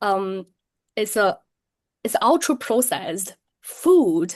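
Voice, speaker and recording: Very wide pitch swings in a Chinese accent over a quiet background. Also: woman. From China, Shenzhen. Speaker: tea business owner. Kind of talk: interview. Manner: frequent hesitations (um, uh).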